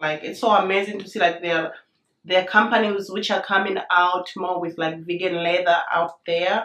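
A woman speaks with a fairly bright tone. Room echo is audible.

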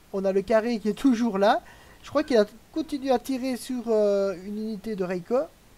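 With noticeable background noise around him, a man talks at a moderate speed, his pitch high and its variation ordinary. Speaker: live streamer and match commentator. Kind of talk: live sports-style commentary on a strategy game match. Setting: live stream. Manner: chatty, with filler words and hesitations.

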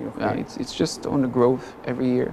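Light background noise plays as a man speaks at a very fast pace. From Israel. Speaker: business chamber president and entrepreneur. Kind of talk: interview. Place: studio. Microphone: lapel.

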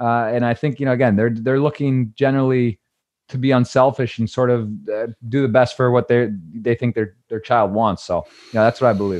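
Against a quiet background, a man speaks with an American accent and fairly even intonation. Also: fairly quick pace. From Michigan, US. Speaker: poker broadcaster and player; podcast guest. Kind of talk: casual interview. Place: home room. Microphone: studio mic.

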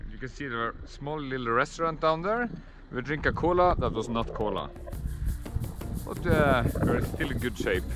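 Clear music behind a man at a moderate pace, with long, frequent pauses and a dry sound with no echo. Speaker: family travel vlogger. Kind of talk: casual vlog chat. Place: open country. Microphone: phone near.

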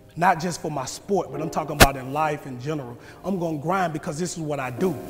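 The man's speech is very fast. Behind him, music plays clearly. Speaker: motivational speaker. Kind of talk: motivational speech. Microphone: lapel.

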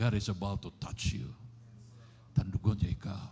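A man's voice has a dark, mellow tone and sounds somewhat breathy, with ordinary pitch variation. Light background noise is present. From Philippines. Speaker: pastor. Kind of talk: sermon; sermon, prayer ministry. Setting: church. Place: church. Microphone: handheld.

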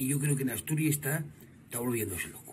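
A man rattles through his words at a very fast pace while light background noise sits underneath. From Asturias, Spain. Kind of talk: comic monologue. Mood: joking about weather. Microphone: phone near.

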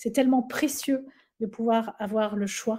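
This woman's voice sits fairly high and has a dark, mellow tone. She is somewhat breathy and talks at a very slow pace. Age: 50s. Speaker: Pilates instructor and trainer; Pilates instructor, trainer. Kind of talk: webinar presentation. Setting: online webinar. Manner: animated. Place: home room. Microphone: webcam.

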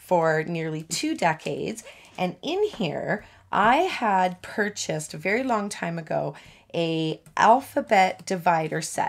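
A woman's fairly slow speech with lively intonation. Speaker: stamping crafter demonstrator. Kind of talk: tutorial.

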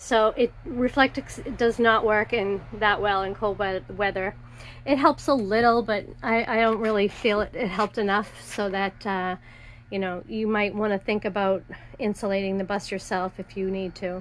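Light background noise sits under a woman whose moderate pace comes with fairly even intonation. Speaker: seller showing her camper bus. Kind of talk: casual tour walkthrough. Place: bus. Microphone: phone near.

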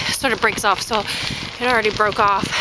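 Music plays in the background behind a woman. Her pitch varies in an ordinary way, and the sound is dry with no echo. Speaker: cycling vlogger. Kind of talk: casual vlog chat. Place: bicycle. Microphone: phone near.

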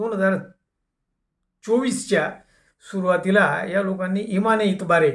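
The recording is very clean, with a silent background. A man talks in an animated tone. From Dhule, Maharashtra. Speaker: anti-corruption activist and YouTuber. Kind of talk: monologue commentary.

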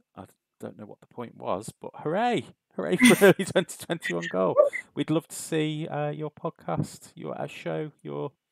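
A man with a British accent at a fairly slow pace, relaxed in tone, in a dry sound with no echo. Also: big swings in loudness. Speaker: stream host. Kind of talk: casual, chatty. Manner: relaxed, chilled. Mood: upbeat, friendly. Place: home room.

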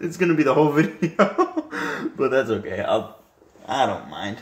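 With audible room echo, a man at medium pitch speaks at a fairly slow pace, his pitch swinging very widely.

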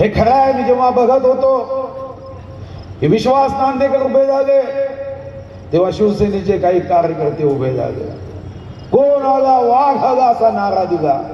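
Noticeable background noise sits under this man's voice. His pitch is extremely high and his intonation lively. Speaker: politician, state forest minister and party candidate. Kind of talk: election rally speech.

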